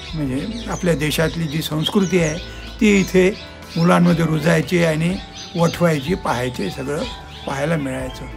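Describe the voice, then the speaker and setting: Music plays in the background as a man speaks at a high pitch with lively intonation. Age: 70s. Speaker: author and Gandhian. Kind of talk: interview answer.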